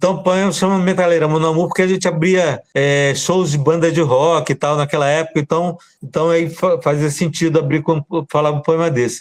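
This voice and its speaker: A plain, everyday voice from a man, fairly high pitch, fairly even intonation, moderate pace. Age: 60s. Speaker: poet. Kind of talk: casual chat.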